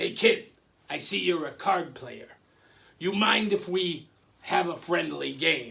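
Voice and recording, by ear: In a put-on character voice that is raspy and gravelly, the speaker goes at a fairly slow pace with long, frequent pauses. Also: man, high pitch for a man.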